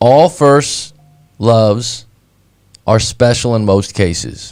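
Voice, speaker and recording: A man talks at a very slow pace, his pitch medium with ordinary variation. Music plays in the background. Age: 30s. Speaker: breakup coach. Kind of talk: casual chat.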